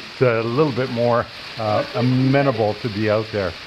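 Here a man talks at a moderate pace with fairly even intonation. Noticeable background noise is present. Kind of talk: casual vlog chat. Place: garage. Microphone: phone near.

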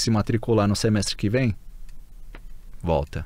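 With a Brazilian accent, a man speaks in a dry sound with no echo. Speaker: Brazilian expatriate; podcast guest. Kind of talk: casual chat. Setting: studio. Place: studio. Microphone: studio mic.

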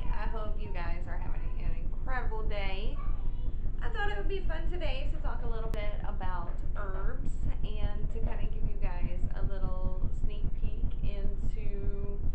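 A woman talks at a moderate pace. Loud background noise runs underneath. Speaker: vlogger. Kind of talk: casual vlog chat. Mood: cheerful, laughing. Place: home room. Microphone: webcam.

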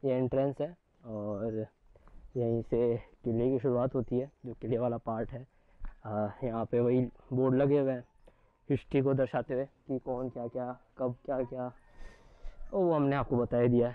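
Medium pitch, fairly even intonation and a moderate pace from a man

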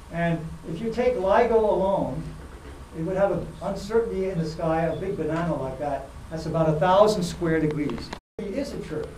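Against light background noise and audible room echo, a man with a high pitch speaks with ordinary pitch variation. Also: moderate pace. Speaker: lecturer. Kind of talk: lecture. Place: hall. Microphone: lapel.

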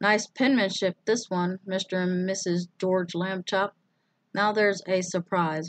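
With little sound behind it, the background quiet, plain reading aloud is heard.

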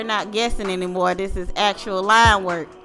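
A woman with a playful tone at a moderate pace, with music in the background. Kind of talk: casual voiceover narration of a drawing video. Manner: playful, joking.

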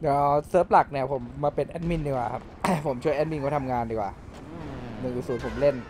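His pitch is fairly high and varies in an ordinary way. The man has an unremarkable speaking voice. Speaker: game streamer playing a roleplay server, acting as admin. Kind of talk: casual talk to camera.

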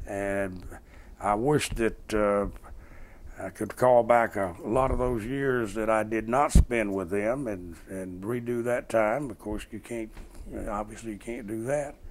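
A man with a Georgia accent talks at a fairly slow pace and medium pitch, with ordinary pitch variation and big swings in loudness. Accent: southern US (Georgia). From south Georgia, US. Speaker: former congressman. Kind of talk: oral history interview. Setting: at home.

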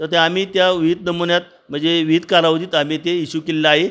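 The background stays quiet. A man talks at a high pitch. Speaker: retired government agricultural officer. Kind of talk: interview.

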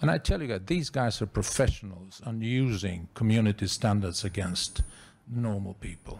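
Speaking in a Bulgarian accent, a man with a somewhat breathy, fairly low voice keeps a moderate pace and ordinary pitch variation. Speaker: former ambassador, NGO head; audience member. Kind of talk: audience question at conference. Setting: conference with audience. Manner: animated. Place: meeting room. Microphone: handheld.

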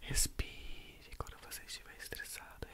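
A man is whispering. He is soft-spoken. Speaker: ASMR creator. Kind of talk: soft ASMR guided relaxation talk. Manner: soft ASMR whisper close to mic. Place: home room. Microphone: studio mic.

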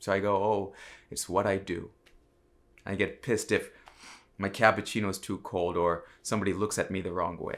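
A man speaks at a fairly low pitch in a monotone, flat intonation. He leaves long, frequent pauses. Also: moderate pace. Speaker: comedian. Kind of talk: stand-up style comic monologue to camera.

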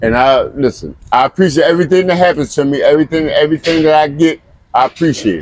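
With ordinary pitch variation and a fairly high pitch, a man rattles along at a very fast pace. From Flint, Michigan. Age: 60s. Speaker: homeless man. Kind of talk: interview answer.

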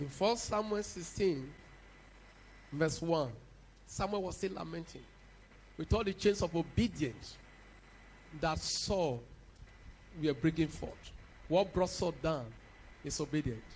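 Lively intonation and an animated tone come through at a fairly slow pace with long, frequent pauses. Light background noise sits underneath. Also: man. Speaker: preacher. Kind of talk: sermon. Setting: church. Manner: animated, rising preaching cadence with repeated decrees. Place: church. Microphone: handheld.

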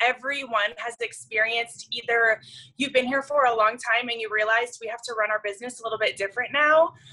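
A woman's fairly high voice, very fast, with a bright, sharp tone. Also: fairly even intonation. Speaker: business coach. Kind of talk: webinar presentation. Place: home room. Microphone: phone near.

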